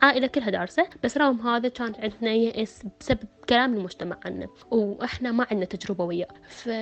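Noticeable background noise sits behind a voice with a southern Iraqi accent. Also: woman. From Iraq, Basra. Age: 20s. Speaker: cancer charity volunteer. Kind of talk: personal testimony.

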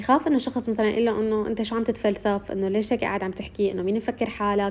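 The speech comes at a very fast pace with ordinary pitch variation. Noticeable background noise is present. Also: woman. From Syria. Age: 20s. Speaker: recent journalism graduate and social media creator. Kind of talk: interview testimony.

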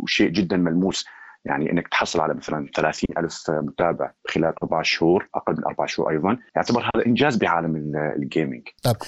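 This man's very deep, low voice shows ordinary pitch variation as he talks at a moderate pace. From Syria. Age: 30s. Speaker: gaming streamer. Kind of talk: podcast interview.

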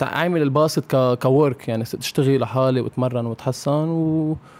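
A man with a plain, everyday voice talks at a moderate pace, his fairly high pitch showing ordinary variation. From Lebanon. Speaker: professional basketball player. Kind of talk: casual interview. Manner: code-switching Arabic and English.

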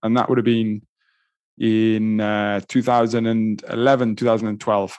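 A man with a Welsh accent speaks at a moderate pace over a quiet background. His medium-pitched voice has monotone, flat intonation. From Wales, Pembrokeshire. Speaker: endurance coach and triathlete. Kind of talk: casual interview.

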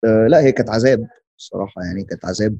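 Dry and close with no echo, a man's dark, mellow voice moves with ordinary pitch variation. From Egypt. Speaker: artist. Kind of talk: casual interview chat.

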